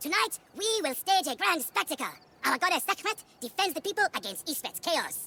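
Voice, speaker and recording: Pitched extremely high, the put-on character voice proceeds at a moderate pace. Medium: video game. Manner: earnest, formal.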